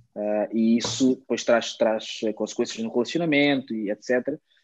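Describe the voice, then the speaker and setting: Speaking at a fairly slow pace, a man uses a dark, mellow tone with ordinary pitch variation. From Angola, Luanda; moved to Portugal at eight. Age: 20s. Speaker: pastor and musician. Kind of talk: casual interview chat.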